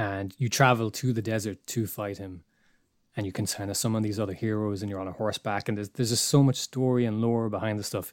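In a very clean recording with a silent background, a man with an Irish accent talks at a very fast pace, his fairly low pitch held in fairly even intonation. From Ireland. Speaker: illustrator and podcast co-host. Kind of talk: casual chat.

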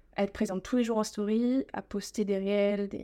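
On a very clean recording with a silent background, a woman talks at a medium pitch with fairly even intonation. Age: 20s. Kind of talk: interview.

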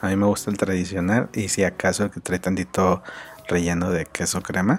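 A man speaks at a moderate pace in a very deep, low pitch. His intonation stays monotone and flat. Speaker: podcast host and graphic designer. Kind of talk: casual solo podcast monologue. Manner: halting, many fillers and repetitions.

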